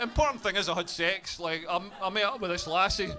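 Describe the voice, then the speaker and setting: In a Scottish accent, a man speaks in an animated tone with ordinary pitch variation. Noticeable background noise is present. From Scotland, Dumfries. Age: 40s. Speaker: stand-up comedian. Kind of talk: stand-up. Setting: stage with audience.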